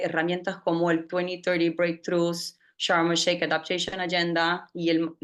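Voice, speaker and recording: Fairly slow speech with a Brazilian accent. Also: woman. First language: Portuguese (speaking Spanish). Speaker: climate policy director. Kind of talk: panel presentation. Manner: halting, many fillers.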